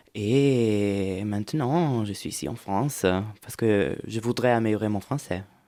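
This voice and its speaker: With an Italian accent, a man speaks at a very slow pace in a fairly low, dark, mellow voice. His loudness swings widely. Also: ordinary pitch variation. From central Italy, near Rome. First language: Italian (speaking French). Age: 30s. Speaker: European volunteer. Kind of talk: interview. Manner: halting, many hesitations.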